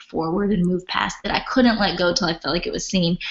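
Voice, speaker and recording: A woman's fairly low-pitched voice over noticeable background noise. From Philippines. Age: 30s. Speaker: author and pastor's wife. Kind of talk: interview testimony.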